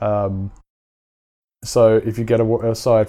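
Over a silent background in a very clean recording, a man with a London accent speaks at a medium pitch in a dark, mellow tone with monotone, flat intonation. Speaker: finance manager. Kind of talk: casual interview.

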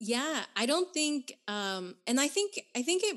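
Against a quiet background, a woman with an American accent speaks in a high pitch with very wide pitch swings. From Nicaragua, raised in the US. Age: 30s. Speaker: author and activist. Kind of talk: casual interview chat.

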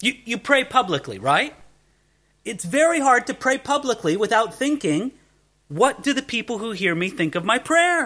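Over a silent background in a very clean recording, a man with an American accent projects a raised voice at an extremely high pitch, his bright, sharp tone swinging very widely in pitch at a moderate pace. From US, Southern California. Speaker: pastor. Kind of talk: sermon.

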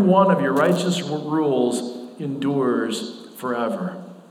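With ordinary pitch variation, a man talks fairly slowly as noticeable background noise carries on. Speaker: pastor. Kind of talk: sermon. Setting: church. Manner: not loud.

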